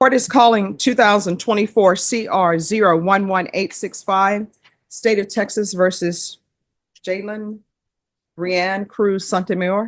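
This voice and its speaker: In a Louisiana accent, a woman speaks fairly slowly at a medium pitch with fairly even intonation. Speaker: judge. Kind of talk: court hearing. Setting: courtroom. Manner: formal.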